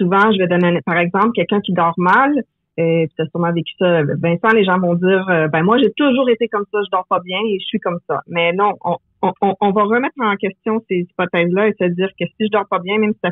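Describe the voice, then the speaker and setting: A woman talks in a Quebec accent. Her pitch is medium, with ordinary variation. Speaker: memory coach. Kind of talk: interview.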